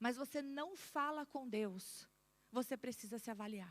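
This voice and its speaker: A woman with an animated tone and lively intonation, dry and close with no echo. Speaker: pastor. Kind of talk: sermon. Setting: church.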